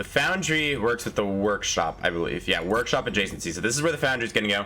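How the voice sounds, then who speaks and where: Over noticeable background noise, a man with a fairly low pitch talks at a very fast pace with lively intonation. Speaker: gaming youtuber. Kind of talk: let's play commentary. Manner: casual, thinking aloud.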